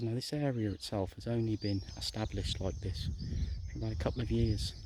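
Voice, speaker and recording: A man with a Shropshire accent speaks at a moderate pace in a fairly low, dark, mellow, somewhat breathy voice. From England, Shropshire. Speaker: gardening vlogger. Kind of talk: casual walk-and-talk garden tour. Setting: outdoors in garden.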